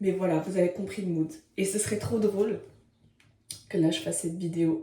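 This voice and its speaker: A somewhat breathy voice with a dark, mellow tone. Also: woman, medium pitch for a woman, ordinary pitch variation, moderate pace. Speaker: vlogger. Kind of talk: casual vlog monologue. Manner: energetic, animated.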